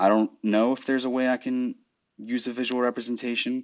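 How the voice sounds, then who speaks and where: A man speaks at a fairly quick pace. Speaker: podcaster. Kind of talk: casual solo monologue. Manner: monotone at times, filler-heavy; casual, halting.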